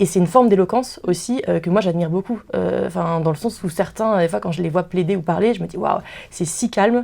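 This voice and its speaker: A woman talks at a fairly quick pace, with vocal fry in her voice. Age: 20s. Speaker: law student. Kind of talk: interview. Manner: fast; halting.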